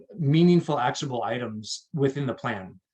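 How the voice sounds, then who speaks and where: A man speaks in a plain, everyday voice at medium pitch and a moderate pace, with ordinary pitch variation. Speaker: water district staff presenter. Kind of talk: presentation talk.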